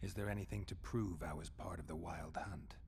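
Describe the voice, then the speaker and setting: A put-on character voice at a fairly quick pace, with clear background noise. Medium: video game. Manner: terse, dry, low-key.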